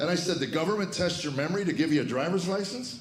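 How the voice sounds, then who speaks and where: A man talks at a very fast pace in an American accent. Audible room echo and noticeable background noise fill the recording. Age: 60s. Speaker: comedian. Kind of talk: stand-up. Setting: stage with audience.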